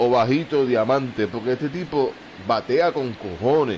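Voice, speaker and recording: A man with a Puerto Rican accent, lively intonation and a very slow pace, over noticeable background noise. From Puerto Rico. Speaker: gamer. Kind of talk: live gameplay commentary. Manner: casual.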